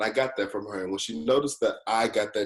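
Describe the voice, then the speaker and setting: A man speaks at medium pitch. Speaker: program fellow. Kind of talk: casual chat. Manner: loud.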